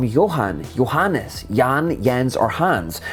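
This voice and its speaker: A man in a Scottish accent, his pitch swinging very widely, over noticeable background noise. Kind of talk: explainer video narration.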